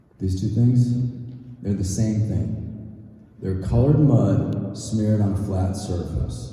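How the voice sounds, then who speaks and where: Over noticeable background noise and audible room echo, a man with fairly low pitch talks at a very slow pace, pausing long and often. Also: ordinary pitch variation. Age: 60s. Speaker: artist giving a talk. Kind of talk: lecture. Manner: conversational, with filler words.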